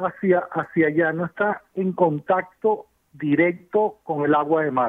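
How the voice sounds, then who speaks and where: The speaker keeps a fairly slow pace. Pitch variation is ordinary. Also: man, high pitch for a man. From Venezuela. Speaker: civil engineer. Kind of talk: expert interview.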